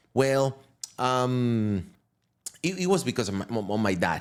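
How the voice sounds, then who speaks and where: With a Venezuelan accent, a man talks at a moderate pace. His voice has a medium pitch. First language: Spanish. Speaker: crypto entrepreneur. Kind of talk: podcast interview. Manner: halting.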